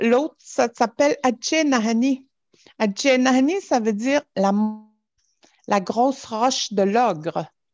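A woman's high voice, very slow with long, frequent pauses, lively in intonation yet very even in loudness, with a dry, close sound and no echo. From Natashquan, Innu community, Quebec. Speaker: storyteller. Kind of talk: storytelling, elder oral tale. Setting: video call. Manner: slow, calm, halting with pauses and repetitions.

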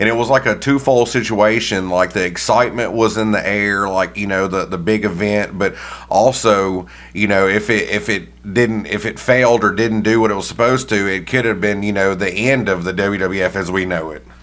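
A man speaks with a Southern US accent in a fairly low voice. He barely pauses at all. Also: moderate pace. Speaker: podcast co-host. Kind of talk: casual interview. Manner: animated, laughs often.

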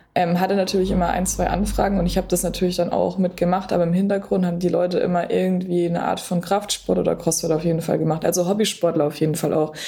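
A woman speaks very fast in a fairly low, monotone voice with hardly any pauses. Her loudness stays very even, and there is noticeable background noise. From Berlin, Germany. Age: 20s. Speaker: sports nutrition coach. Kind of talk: podcast interview.

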